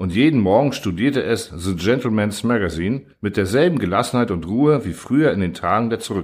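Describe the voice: The speaker reads aloud plainly, with lively intonation.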